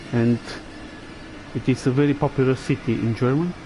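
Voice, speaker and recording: Moderate pace and fairly even intonation from a man at a medium pitch with a Romanian accent, amid noticeable background noise. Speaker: gaming livestreamer. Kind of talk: gameplay commentary.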